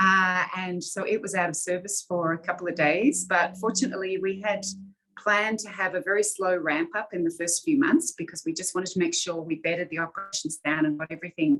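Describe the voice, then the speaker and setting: Talking at a fairly quick pace, a woman with an Australian accent has a medium pitch and ordinary pitch variation. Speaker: airline executive. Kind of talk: interview.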